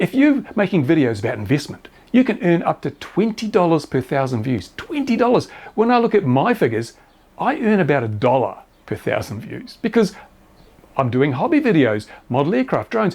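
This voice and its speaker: A man's high-pitched voice swings very widely in pitch at a fairly quick pace. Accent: Australian. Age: 70s. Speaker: YouTuber reviewing RC model planes and drones. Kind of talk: casual commentary.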